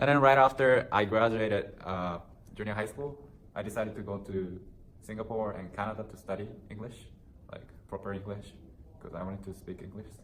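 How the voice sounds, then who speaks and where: In a room with audible echo, a man with fairly low pitch talks at a fairly quick pace with fairly even intonation, long, frequent pauses and big swings in loudness. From Japan. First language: Japanese. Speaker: university student interviewee. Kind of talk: casual interview.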